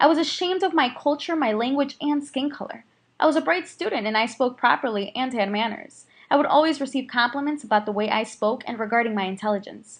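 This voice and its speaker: Talking at a very fast pace, a woman with a Spanish accent uses a high pitch and lively intonation. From US Midwest, Chicago area. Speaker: student. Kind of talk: scripted narration.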